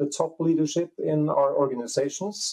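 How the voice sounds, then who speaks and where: A dark, mellow male voice at a moderate pace against a quiet background. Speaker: remote guest. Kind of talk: interview answer. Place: home room. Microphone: earbuds.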